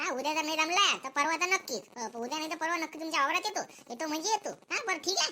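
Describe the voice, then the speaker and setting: A cartoonish character voice from a woman, extremely high in pitch, with ordinary pitch variation and a very fast pace. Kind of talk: village comedy cartoon voice. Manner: haggling, secretive.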